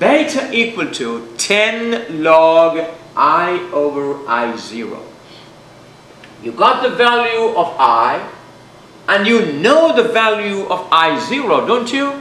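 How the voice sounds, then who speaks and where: A man speaks at a very slow pace in a raised, projected, high voice with very wide pitch swings and long, frequent pauses, amid audible room echo and noticeable background noise. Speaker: physics teacher. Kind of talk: lecture. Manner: loud.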